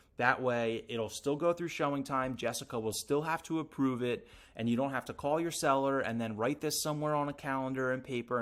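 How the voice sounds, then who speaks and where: A man speaks fairly quickly with ordinary pitch variation on a very clean recording with a silent background. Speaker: real estate agent trainer. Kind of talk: tutorial. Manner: fast.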